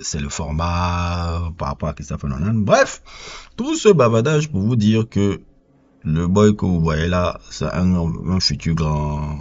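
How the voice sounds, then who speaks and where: Someone with a Cameroonian accent speaks at a very slow pace, the intonation lively. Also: man, very deep, low pitch for a man. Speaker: film reviewer. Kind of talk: casual film review monologue. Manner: hesitant with repetitions and fillers.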